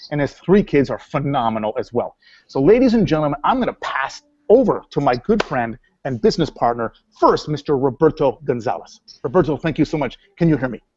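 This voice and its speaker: A man with a fairly high pitch talks at a fairly quick pace in an animated tone with lively intonation, recorded with a dry, close sound and no echo. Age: 40s. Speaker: company co-founder and webinar host. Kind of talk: webinar introduction. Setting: online webinar.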